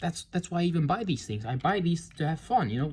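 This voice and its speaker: Someone with a non-native accent talks at a very fast pace. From outside America. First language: not English. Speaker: toy reviewer. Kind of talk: product review. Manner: halting; casual.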